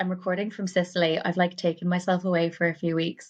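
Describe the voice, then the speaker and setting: Here a woman talks with a Cork accent at a fairly quick pace. Her pitch is fairly low. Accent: Irish (Cork). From West Cork, Ireland. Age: 30s. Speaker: poet, writer and performer. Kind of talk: podcast interview answer. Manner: casual, rambling.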